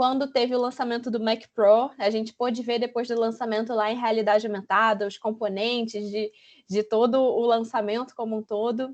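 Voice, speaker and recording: A woman talks at a moderate pace with a fairly high pitch. The background is quiet. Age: 20s. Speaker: UX designer. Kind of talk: online talk presentation. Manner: animated.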